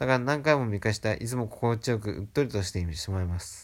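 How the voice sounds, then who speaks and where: Recorded very cleanly against a silent background, a man with a normal speaking voice talks at a fairly quick pace, medium in pitch with ordinary variation. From Japan. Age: 20s. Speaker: film fan. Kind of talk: reading aloud.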